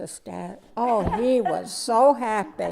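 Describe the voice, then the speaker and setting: A woman with an American accent speaks in a dark, mellow tone. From Vermont, USA. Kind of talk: interview answer.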